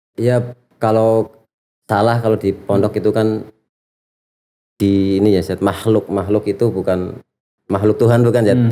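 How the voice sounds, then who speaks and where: A man with a Central Javanese accent talks at a fairly slow pace. His tone is dark and mellow, and his intonation is flat and monotone. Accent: Cilacap ngapak. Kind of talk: conversational Indonesian with Javanese influence.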